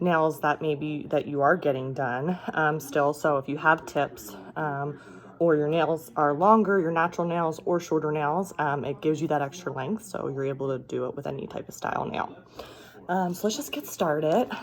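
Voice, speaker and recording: A woman's quiet, very deep, low voice at a moderate pace, with ordinary pitch variation. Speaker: beauty vlogger. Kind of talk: product tutorial. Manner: quiet, talking low.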